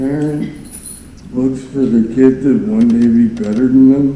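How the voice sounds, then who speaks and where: This man's pitch sits in the medium range with ordinary variation. Room echo is audible. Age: 40s. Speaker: defendant testifying in court. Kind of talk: court testimony. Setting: courtroom. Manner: halting.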